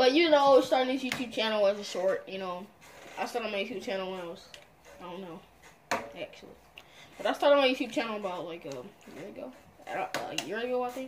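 Over noticeable background noise, a woman talks at a fairly high pitch and a fairly quick pace, with very wide pitch swings, big swings in loudness, and long, frequent pauses. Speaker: gamer. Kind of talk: casual gaming commentary. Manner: excitable. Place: home room.

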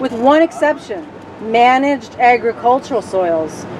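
Against noticeable background noise, a woman with a fairly high pitch speaks at a fairly slow pace with lively intonation. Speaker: bus trip organizer interviewing riders. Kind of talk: casual interviews. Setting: on a bus. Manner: animated. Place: bus. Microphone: phone near.

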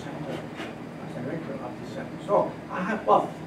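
A man with a Spanish accent, noticeable background noise behind him. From Cuba. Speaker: retired meteorologist and TV weather presenter. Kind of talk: panel discussion. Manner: halting. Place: meeting room. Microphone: camera far.

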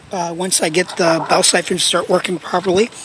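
The speech moves at a moderate pace, with a dry sound with no echo and noticeable background noise. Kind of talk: casual project update narration. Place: garden. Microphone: phone near.

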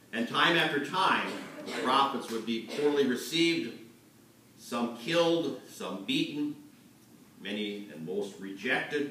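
A man with lively intonation at a fairly slow pace, with audible room echo and light background noise. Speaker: pastor. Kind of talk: sermon. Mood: earnest, serious. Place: church.

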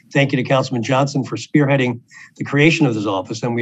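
The man's voice is somewhat breathy, with fairly even intonation. The background is quiet. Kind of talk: prepared press briefing remarks. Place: office. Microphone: video call.

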